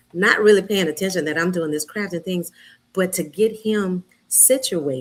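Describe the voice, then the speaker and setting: An ordinary speaking voice from a woman, medium in pitch, with ordinary pitch variation at a moderate pace. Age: 60s. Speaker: retiree and guest. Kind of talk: testimony.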